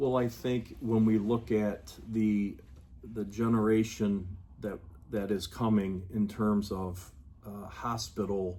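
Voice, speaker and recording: Speaking at a very slow pace, a man uses a dark, mellow tone with fairly even intonation. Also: fairly low pitch for a man. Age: 60s. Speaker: public health official. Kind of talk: interview. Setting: on location at the health department.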